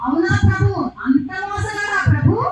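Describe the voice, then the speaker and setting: Over loud background noise and a slight echo, a man uses a put-on character voice at an extremely high pitch. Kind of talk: folk stage acting. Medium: stage play. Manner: deferential, wide-eyed, echoing.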